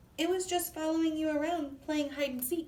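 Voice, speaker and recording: A woman puts on a loud, squeaky character voice at an extremely high pitch, keeping a moderate pace and monotone, flat intonation. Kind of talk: children's read-aloud. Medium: read story. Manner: loud, kindly.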